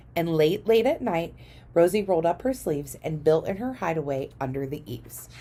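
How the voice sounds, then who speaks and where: Using a put-on character voice, a woman speaks raspy and fairly low-pitched at a fairly quick pace with lively intonation. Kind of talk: children's picture-book read-aloud in rhyme. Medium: read story. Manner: rhythmic.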